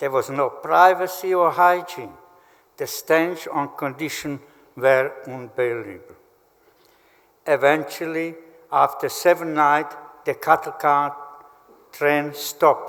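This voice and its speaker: Taking long, frequent pauses, a man with a fairly high pitch speaks at a very slow pace. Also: ordinary pitch variation. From Slovakia. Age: 80s+. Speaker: Holocaust survivor. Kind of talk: testimony. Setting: memorial ceremony hall.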